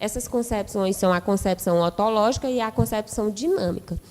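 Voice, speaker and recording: A woman of medium pitch with an unremarkable speaking voice, lively intonation and a fairly slow pace. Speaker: nursing lecturer. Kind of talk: lecture.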